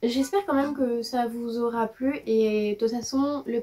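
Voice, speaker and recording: Her fairly high voice moves at a moderate pace, and this woman shows ordinary pitch variation. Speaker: YouTuber. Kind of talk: casual room tour vlog. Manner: animated.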